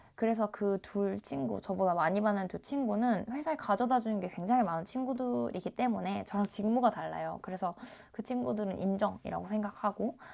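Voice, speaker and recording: Lively intonation marks a woman's medium-pitched voice. She goes at a fairly quick pace with hardly any pauses. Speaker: YouTuber, cybersecurity worker. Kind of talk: casual vlog talk. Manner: hesitant, many fillers.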